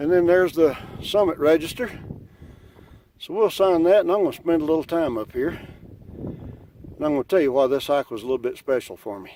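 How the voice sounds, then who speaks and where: Over noticeable background noise, a man with fairly high pitch talks at a fairly quick pace with lively intonation, big swings in loudness and long, frequent pauses. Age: 60s. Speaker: hiking vlogger. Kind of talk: casual vlog monologue. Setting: outdoors on a mountain summit. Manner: animated.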